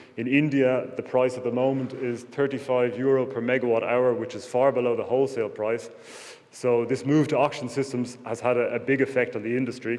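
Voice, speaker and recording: With an Irish accent, a man talks at a fairly quick pace in a medium-pitched voice with monotone, flat intonation. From Ireland. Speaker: wind energy sales executive. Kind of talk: conference presentation. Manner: hesitant, many fillers.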